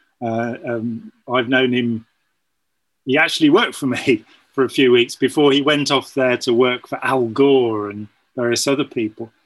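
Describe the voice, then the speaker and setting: A man with a medium-pitched voice speaks at a moderate pace with fairly even intonation. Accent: British. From United Kingdom. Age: 60s. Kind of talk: casual chat.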